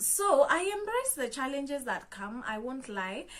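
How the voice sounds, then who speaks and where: In a Kenyan accent, the speaker talks at a moderate pace, and room echo can be heard. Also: woman. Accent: Kenyan accent, noticeable. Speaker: motivational content creator. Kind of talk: motivational talk to camera. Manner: conversational with frequent fillers.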